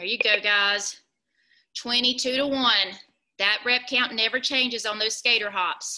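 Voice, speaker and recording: A woman speaks in a bright, sharp tone with fairly even intonation. Her pace is fairly slow, and the background is quiet. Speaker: fitness instructor. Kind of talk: workout class instruction. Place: garage. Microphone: video call.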